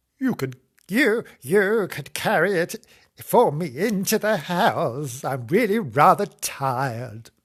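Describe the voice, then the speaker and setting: Cackling in a put-on character voice, a man speaks loudly and projects in a high pitch at a fairly slow pace against a quiet background. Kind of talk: comic old woman voice. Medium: read story. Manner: muttering, cackling.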